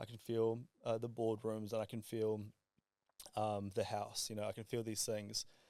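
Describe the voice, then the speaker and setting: A man mumbles at a medium pitch in a dark, mellow tone, his intonation monotone and flat. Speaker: podcast guest, entrepreneur. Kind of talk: casual podcast chat. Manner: fast; mumbling.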